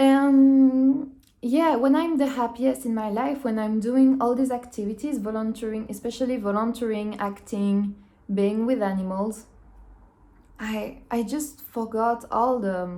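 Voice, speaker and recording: Fairly slow and in a French accent, a woman speaks at a fairly high pitch with ordinary pitch variation and a dark, mellow tone. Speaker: minimalism vlogger. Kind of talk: casual monologue. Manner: halting.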